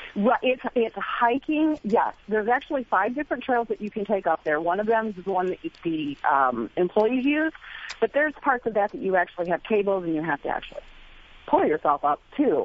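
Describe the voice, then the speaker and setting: Against noticeable background noise, the speaker's pitch swings very widely. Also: woman, fairly high pitch for a woman, fairly quick pace. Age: 50s. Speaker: caller. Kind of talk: casual chat.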